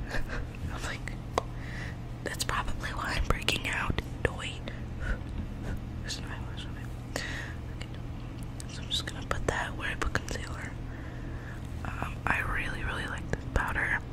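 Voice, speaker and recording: Loud background noise surrounds a woman who talks at a moderate pace with long, frequent pauses. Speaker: ASMR creator. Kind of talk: ASMR whisper ramble. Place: home room. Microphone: studio mic.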